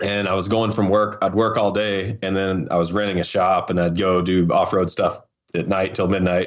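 A man with a fairly low pitch speaks at a moderate pace. His intonation is monotone and flat, and his loudness is very even. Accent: slight Southern Appalachian. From North Carolina. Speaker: off-road racer. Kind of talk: casual interview. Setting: phone call.

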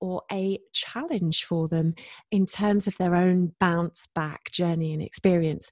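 In a very clean recording with a silent background and a dry, close sound with no echo, a woman with a British accent speaks fairly slowly in a somewhat breathy voice at a medium pitch. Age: 40s. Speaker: podcast host. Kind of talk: interview.

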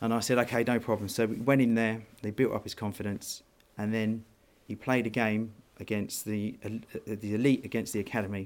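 With a southern English accent, a man speaks at a fairly quick pace with monotone, flat intonation. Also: medium pitch for a man. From southern England (Worthing, West Sussex). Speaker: business owner and football parent. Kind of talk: casual interview.

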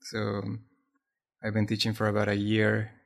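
With a Spanish accent, a man is talking. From Colombia. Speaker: maker and artist. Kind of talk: casual chat. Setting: remote call from home.

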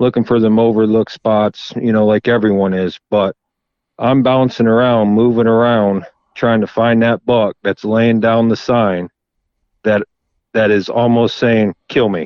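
Speaking with an American accent, a man keeps a medium pitch and very even loudness. His pace is fairly slow and his intonation monotone and flat. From Florida. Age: 30s. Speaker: public land bowhunter. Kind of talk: podcast interview.

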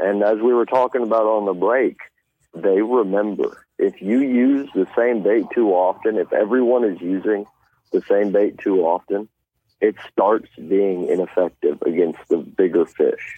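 Here a man speaks at a moderate pace. His loudness stays very even throughout. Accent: American. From Missouri Ozarks, near Poplar Bluff. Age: 20s. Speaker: tournament bass angler. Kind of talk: interview.

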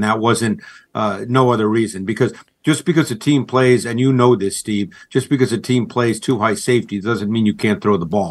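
A man talks at a moderate pace in a plain, everyday voice, his pitch medium with ordinary variation. The background is quiet. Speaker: football film analyst. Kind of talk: sports radio interview.

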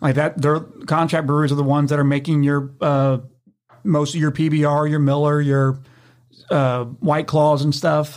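Moderate pace, monotone, flat intonation and very even loudness on a very clean recording with a silent background. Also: man, fairly high pitch for a man. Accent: Tennessee. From Memphis, Tennessee. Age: 20s. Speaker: brewery founder and brewer. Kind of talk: casual interview chat.

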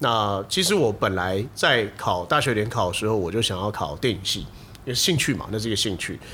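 This man speaks at a fairly quick pace, his fairly low-pitched voice carrying a bright, sharp tone. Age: late 30s. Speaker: video production company head. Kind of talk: casual chat.

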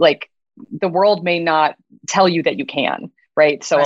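A woman with an American accent and an unremarkable speaking voice talks at a moderate pace and a fairly low pitch. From US Midwest. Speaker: biotech CEO. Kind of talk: interview.

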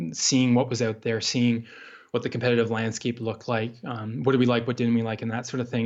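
A man speaks at a medium pitch. He has a Canadian accent. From Canada, rural Ontario. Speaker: mountain hunting magazine editor. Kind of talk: interview. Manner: halting, many fillers.

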